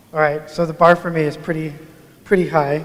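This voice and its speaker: A man with a fairly high pitch mumbles at a fairly quick pace over noticeable background noise. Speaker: agile coach, conference speaker. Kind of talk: conference talk. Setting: stage with audience. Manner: mumbling.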